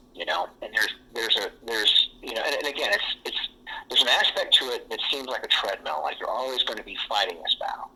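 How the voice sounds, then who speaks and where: Noticeable background noise runs under a man speaking at a very fast pace. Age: 40s. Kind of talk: casual chat. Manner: halting.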